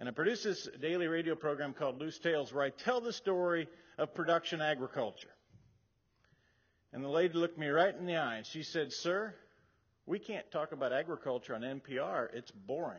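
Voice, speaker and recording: A man with an unremarkable speaking voice and an American accent talks at a fairly quick pace, with a fairly high pitch and lively intonation. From Nebraska, USA. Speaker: farmer, humorist, radio host and speaker. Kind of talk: keynote speech storytelling to an audience.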